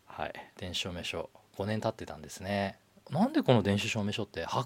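A man talks at a fairly quick pace. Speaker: livestream show navigator. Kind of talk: solo livestream talk. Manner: fast.

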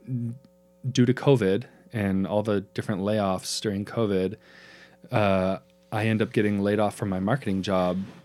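With music in the background, a man with an American accent talks at a fairly slow pace, his pitch fairly low and his intonation fairly even. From Eastern Oregon (Pendleton). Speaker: podcast co-host. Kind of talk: casual chat.

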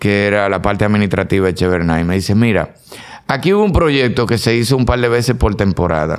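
A man talks at a fairly quick pace. His fairly low-pitched voice shows ordinary pitch variation. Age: 50s. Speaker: actor and comedian. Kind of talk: casual chat. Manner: animated.

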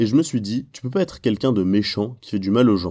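A man's dark, mellow voice at medium pitch, with lively intonation and a fairly quick pace over a quiet background. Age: 20s. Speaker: youth ministry worker. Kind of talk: testimony.

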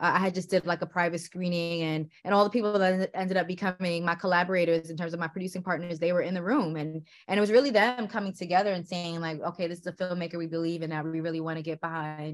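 A woman talks at a very fast pace with hardly any pauses. Her pitch is fairly low and her intonation fairly even. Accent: American. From New York City. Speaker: film director. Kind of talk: interview.

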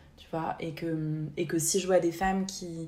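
Audible room echo carries a woman's fairly low-pitched voice, delivered in monotone, flat intonation. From France, Haute-Savoie. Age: 30s. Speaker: podcast co-host, therapist. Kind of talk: casual chat. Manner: halting, repeats words.

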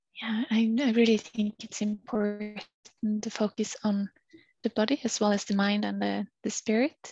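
A woman with a Norwegian accent talks at a fairly high pitch and moderate pace. Her voice is somewhat breathy, and the sound is dry and close with no echo. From Norway. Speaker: PhD student, climber and yoga practitioner. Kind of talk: casual interview chat. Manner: halting, many fillers.

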